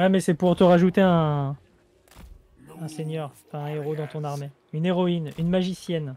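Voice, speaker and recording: A man speaks at a moderate pace in a monotone, flat intonation. His loudness swings widely, with long, frequent pauses. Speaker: gaming YouTuber. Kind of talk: casual chat. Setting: video call.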